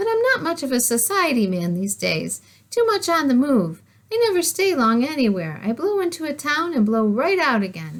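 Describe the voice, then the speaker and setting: A woman speaks in a put-on character voice pitched high. Her pitch swings very widely. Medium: read story.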